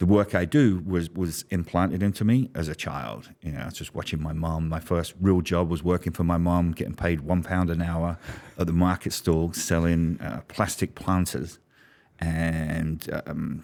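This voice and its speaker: Speaking at a moderate pace with fairly even intonation, the voice carries a London accent on a very clean recording with a silent background. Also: man, very deep, low pitch for a man. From London, England. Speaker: business strategist. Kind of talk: interview storytelling.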